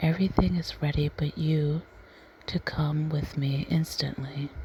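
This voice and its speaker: Soft-spoken and calm in tone, the voice moves at a very slow pace over noticeable background noise. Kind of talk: soft-spoken ASMR story reading. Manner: soft-spoken, calm.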